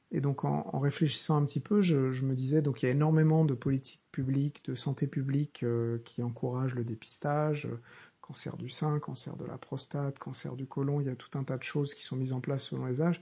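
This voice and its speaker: A man speaks at a fairly quick pace in a fairly high pitch, somewhat breathy and with a dark, mellow tone. His intonation is fairly even against a quiet background. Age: 30s. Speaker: professional coach and podcast host. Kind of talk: solo monologue podcast. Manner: halting, many repetitions and fillers; improvised, off the cuff.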